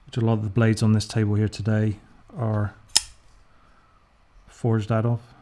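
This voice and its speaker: A man's dark, mellow voice in an English accent, flat and monotone, at a fairly quick pace broken by long, frequent pauses. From England. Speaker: knife reviewer, YouTuber. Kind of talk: casual product review. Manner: casual, hesitant with fillers.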